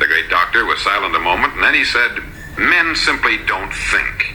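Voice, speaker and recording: A man with an American accent at a moderate pace, over noticeable background noise. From United States. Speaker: radio broadcaster and motivational speaker. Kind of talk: motivational speech.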